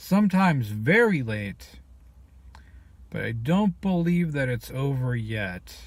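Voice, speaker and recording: A man talks very slowly in a somewhat breathy voice at a medium pitch. His pitch swings very widely, and he leaves long, frequent pauses. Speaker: video blogger. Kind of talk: personal vlog monologue.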